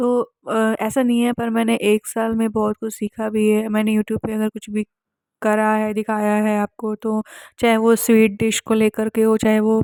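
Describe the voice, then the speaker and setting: The sound is dry and close, with no echo. A woman's fairly high pitch carries a dark, mellow tone with monotone, flat intonation. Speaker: vlogger. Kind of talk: casual vlog talk. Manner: hesitant.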